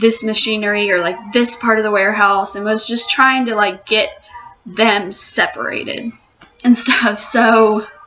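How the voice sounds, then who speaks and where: A woman speaks at a fairly high pitch. Noticeable background noise runs under her voice. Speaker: youtuber. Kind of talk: rant. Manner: animated.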